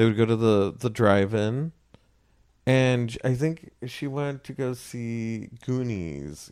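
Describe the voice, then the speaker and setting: The man's medium-pitched voice is a normal speaking voice with ordinary pitch variation. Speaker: podcast host. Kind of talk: casual chat, movie discussion.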